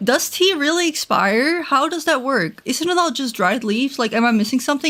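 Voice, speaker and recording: Speaking with a Dutch accent, a woman goes at a fairly quick pace with lively intonation. Noticeable background noise sits behind her. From Netherlands. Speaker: gaming streamer. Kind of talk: casual live stream chat. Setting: live stream. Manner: chatty, rambling.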